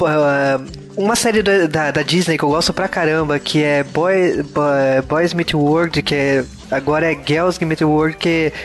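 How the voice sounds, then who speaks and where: A man speaks very slowly in a fairly high voice, his intonation fairly even and his loudness very even. Noticeable background noise runs underneath. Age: 30s. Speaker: podcast host. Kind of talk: casual chat.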